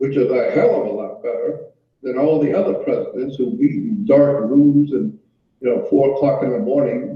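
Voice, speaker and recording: The room echo is audible. A man delivers his words at a moderate pace. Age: 70s. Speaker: researcher of conspiracy topics. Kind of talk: interview. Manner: animated.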